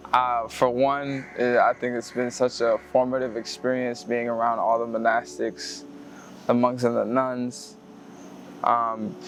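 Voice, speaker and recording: Here a man speaks at medium pitch in a normal speaking voice. His pitch variation is ordinary. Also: fairly slow pace. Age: 20s. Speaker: university student. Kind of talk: interview testimony.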